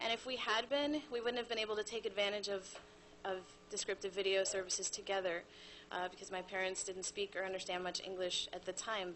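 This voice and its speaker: There is noticeable background noise behind this woman, whose medium-pitched voice moves along at a fairly quick pace. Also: fairly even intonation. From US, Cuban American family. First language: Spanish. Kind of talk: prepared presentation.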